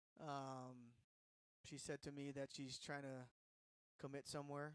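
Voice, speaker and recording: A man talks at a fairly high pitch. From Hawaii. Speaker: sports commentator. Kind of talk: live commentary. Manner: casual.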